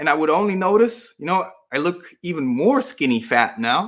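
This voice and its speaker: On a very clean recording with a silent background, a man with a Spanish accent speaks with very wide pitch swings. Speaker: fitness YouTuber. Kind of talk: live Q&A stream. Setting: livestream at home computer. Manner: casual, hesitant with fillers.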